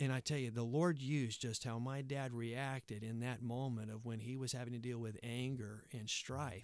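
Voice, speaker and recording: In a very clean recording with a silent background, a man speaks at a medium pitch and moderate pace. He has a normal speaking voice with fairly even intonation. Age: 40s. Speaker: Baptist pastor and denominational leader. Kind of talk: casual chat. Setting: studio.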